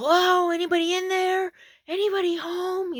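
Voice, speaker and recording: Someone puts on a character voice with an extremely high pitch. The pace is moderate. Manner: calling out, inquiring.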